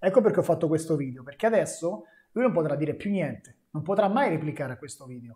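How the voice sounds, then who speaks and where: The voice moves at a fairly quick pace with lively intonation. The background is quiet. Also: man. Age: 30s. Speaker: fitness coach and youtuber; fitness coach. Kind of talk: live stream Q&A. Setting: live stream. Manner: casual. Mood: animated, opinionated. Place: gym.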